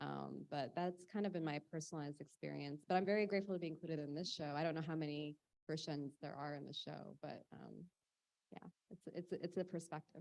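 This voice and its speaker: Her voice has a very deep, low pitch, and she is a woman with an American accent. Her intonation stays fairly even. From United States. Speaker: artist. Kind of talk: panel discussion.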